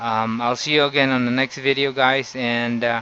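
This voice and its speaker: Over noticeable background noise, a man with a Filipino accent speaks at a moderate pace in a medium pitch, his intonation monotone and flat. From Philippines. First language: Tagalog. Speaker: YouTuber. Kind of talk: tutorial. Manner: halting.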